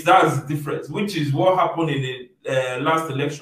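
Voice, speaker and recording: A man speaks at a fairly high pitch, somewhat breathy. The room echo is audible against a quiet background. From Nigeria. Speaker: online show host; show host. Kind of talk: interview discussion. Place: home room.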